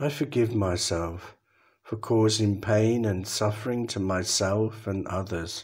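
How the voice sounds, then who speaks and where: A man with an English accent speaks at a fairly slow pace in a fairly low, somewhat breathy voice with a calm tone and ordinary pitch variation. The recording is very clean, with a silent background. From England. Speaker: Buddhist monk, meditation guide. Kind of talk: guided meditation. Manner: calm, slow.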